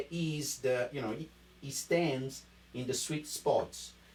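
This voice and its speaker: A man with an Italian accent, a fairly high pitch, a somewhat breathy voice and a fairly slow pace. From Italy. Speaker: wine importer sales rep. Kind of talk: live-streamed wine tasting chat. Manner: animated, enthusiastic.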